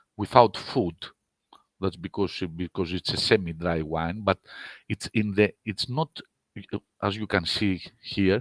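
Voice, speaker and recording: This voice carries a Greek accent. Its intonation stays fairly even. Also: man, dry, close sound with no echo. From Greece. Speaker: winemaker. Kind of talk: online wine seminar presentation. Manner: halting.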